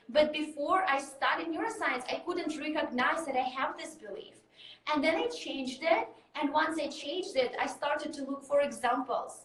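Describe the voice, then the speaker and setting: Spoken with a Russian accent at a moderate pace, the voice has ordinary pitch variation and audible room echo. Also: woman, high pitch for a woman. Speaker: mindset coach. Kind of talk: interview.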